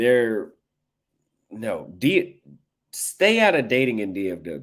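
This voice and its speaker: A very slow delivery in an American accent, with very wide pitch swings and big swings in loudness. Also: man, medium pitch for a man. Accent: Texas country, slips out when relaxed. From Texas. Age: 30s. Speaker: livestreamer. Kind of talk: casual livestream chat. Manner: relaxed.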